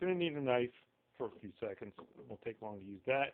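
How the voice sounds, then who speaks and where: Lively intonation from a man at a medium pitch. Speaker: parent making an instructional video. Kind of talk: tutorial. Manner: loud.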